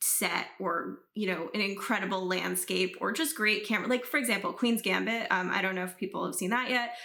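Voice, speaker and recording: With lively intonation and a medium pitch, a woman speaks in an unremarkable speaking voice. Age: 20s. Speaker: YouTube reaction creator. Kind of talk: casual Q&A talk to camera. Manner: casual with many fillers.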